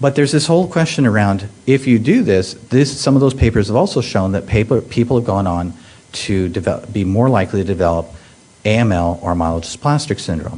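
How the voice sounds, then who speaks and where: A man speaks at a very fast pace in a fairly low pitch. His intonation is lively. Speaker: pediatric hematologist oncologist, professor. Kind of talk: medical conference talk. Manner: halting, many fillers.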